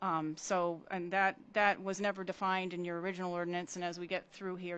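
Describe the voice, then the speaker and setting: Her voice is fairly low for a woman, flat and monotone, and she talks at a fairly quick pace. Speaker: municipal consultant. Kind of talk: presentation at a council meeting. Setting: council meeting. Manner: fast.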